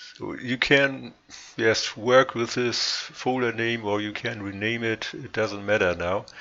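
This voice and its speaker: A man with a non-native accent speaks at a very slow pace and a medium pitch. Noticeable background noise runs underneath. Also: fairly even intonation. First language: not English. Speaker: sim racing modder. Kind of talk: tutorial. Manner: halting, frequent pauses.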